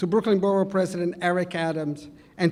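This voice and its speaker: In a strong Italian accent, a man speaks fairly quickly at a high pitch with monotone, flat intonation. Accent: heavy Italian. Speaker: community society president. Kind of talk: award acceptance speech.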